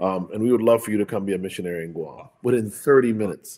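A man with a plain, everyday voice speaks at a fairly quick pace in a fairly low pitch, on a very clean recording with a silent background. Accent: American. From Hartford, Connecticut, US, to Jamaican parents. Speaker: physician and preacher. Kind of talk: testimony.

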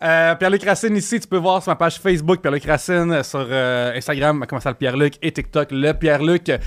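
On a very clean recording with a silent background, a man talks in an animated tone at a high pitch with ordinary pitch variation. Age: 30s. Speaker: podcast host. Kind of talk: casual chat.

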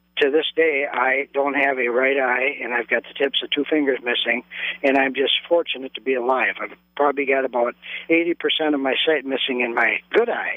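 An ordinary speaking voice from a man with an American accent, fairly high in pitch, fairly quick, with fairly even intonation. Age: 60s. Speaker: caller. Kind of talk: personal story on call-in radio. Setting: phone call.

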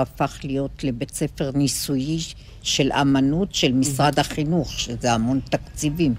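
A woman speaks with a very deep, low pitch and vocal fry. Her pace is fairly slow and her intonation fairly even. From Israel, kibbutz. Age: 70s. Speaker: retiree. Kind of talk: casual chat.

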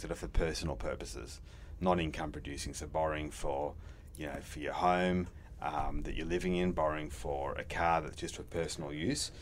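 This man talks at a fairly quick pace with a very deep, low pitch and vocal fry. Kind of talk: casual business chat, interview.

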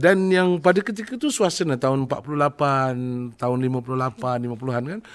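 Very wide pitch swings in a man's fairly high voice. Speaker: podcast host. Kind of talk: casual interview chat, joking. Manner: animated, joking.

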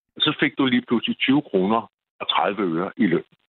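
A man is speaking. He goes at a fairly slow pace. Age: 60s. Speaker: caller. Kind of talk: phone-in call.

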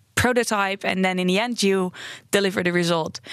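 A woman with a Dutch accent speaks at medium pitch with fairly even intonation against a quiet background. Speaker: interaction design researcher. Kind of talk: interview. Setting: studio.

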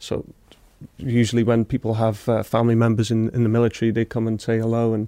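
A man's medium-pitched voice at a very fast pace, dry and close with no echo, on a very clean recording with a silent background. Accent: North Welsh. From Wales, Wrexham. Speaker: war veteran. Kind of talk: casual chat.

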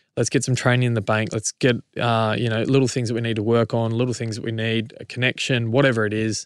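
The speech is very fast, with hardly any pauses and a monotone, flat intonation. The recording is very clean, with a silent background. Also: man, medium pitch for a man. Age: 30s. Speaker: rugby league player. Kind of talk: casual chat.

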